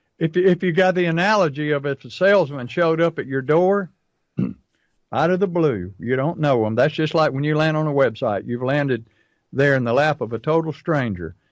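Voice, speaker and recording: A man with a fairly high pitch for a man speaks at a fairly quick pace with lively intonation in an ordinary speaking voice over a quiet background. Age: 60s. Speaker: pest control marketing coach. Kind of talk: casual chat.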